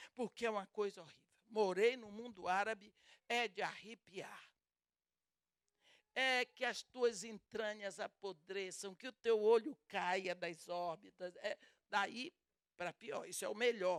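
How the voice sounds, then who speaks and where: A woman speaks at a fairly slow pace with a fairly high pitch and ordinary pitch variation. Her pauses are long and frequent, and her loudness swings widely. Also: dry, close sound with no echo. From Brazil. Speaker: preacher. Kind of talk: sermon.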